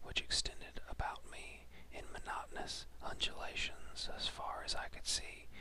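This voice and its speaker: Someone is whispering at a fairly slow pace. Background noise is noticeable. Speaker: whisperer (ASMR-style reader). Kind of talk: horror story reading, whispered. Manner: whispered, slow.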